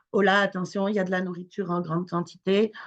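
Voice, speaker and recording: Against a quiet background, a woman with an unremarkable speaking voice and a fairly low pitch talks at a fairly quick pace. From France. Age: 40s. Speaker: charity founder. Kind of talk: webinar talk, personal testimony. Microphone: connection problems.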